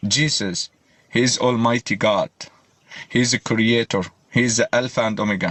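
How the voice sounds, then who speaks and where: With an Arabic accent, a man speaks at a medium pitch and fairly even intonation. He keeps a moderate pace but leaves long, frequent pauses. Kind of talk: heated debate.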